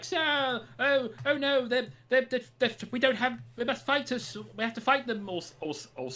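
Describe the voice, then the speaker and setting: Someone uses a put-on character voice at a fairly high pitch and a moderate pace. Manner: nervous, flustered, stammering.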